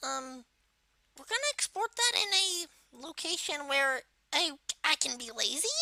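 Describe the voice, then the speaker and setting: A put-on character voice, high in pitch, at a moderate pace with long, frequent pauses. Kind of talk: software tutorial narration. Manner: casual, hesitant.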